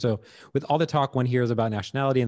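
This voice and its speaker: A man talking at a very fast pace with fairly even intonation, over a quiet background. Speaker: podcast host. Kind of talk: interview. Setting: video call. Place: home room. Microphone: studio mic.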